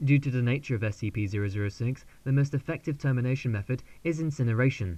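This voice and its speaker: Somewhat breathy and dark, mellow in tone, the voice races along at a very fast pace. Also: man, medium pitch for a man, ordinary pitch variation. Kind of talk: audiobook-style SCP file narration, read aloud as fluency practice. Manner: somewhat hesitant, practicing fluency.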